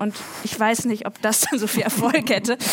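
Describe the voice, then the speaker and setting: At a moderate pace, a woman with an unremarkable speaking voice talks in a fairly high pitch. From northern Germany. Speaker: writer. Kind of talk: panel discussion. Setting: stage with audience.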